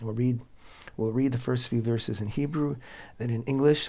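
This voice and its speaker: A man's medium-pitched, somewhat breathy voice, dark and mellow in tone, with fairly even intonation. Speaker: Torah teacher and show host. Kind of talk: religious teaching talk. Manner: halting, many fillers.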